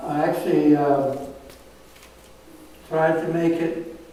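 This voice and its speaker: Over noticeable background noise and audible room echo, a man with a high pitch speaks at a very slow pace in a monotone, flat intonation. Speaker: mountaineer and mountain guide giving a talk. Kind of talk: storytelling talk to live audience. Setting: museum event with live audience. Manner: halting, many fillers.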